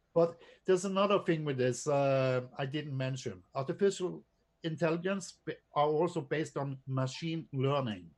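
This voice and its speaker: Speaking with a non-native accent, a man keeps a moderate pace. His pitch is fairly high, with ordinary pitch variation. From Norway. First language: not English. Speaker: drone photographer and presenter. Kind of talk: casual chat. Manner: halting.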